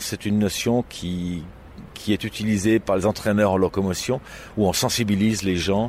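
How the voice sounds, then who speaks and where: Talking at a moderate pace, a man with a plain, everyday voice has a fairly low pitch. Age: 60s. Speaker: blind echolocation practitioner. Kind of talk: interview.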